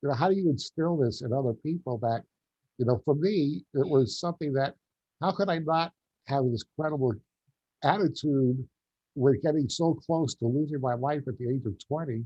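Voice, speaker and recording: A man speaks at a fairly high pitch with ordinary pitch variation. He is somewhat breathy and keeps a moderate pace. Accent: New York. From New York, Long Island. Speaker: quadriplegic gardener and motivational speaker. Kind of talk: interview.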